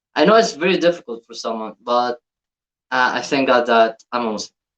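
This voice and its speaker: In an Arabic accent, a man speaks with lively intonation, the sound dry and close with no echo. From Egypt. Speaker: YouTube reactor. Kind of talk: reaction video commentary. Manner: halting, repeats words.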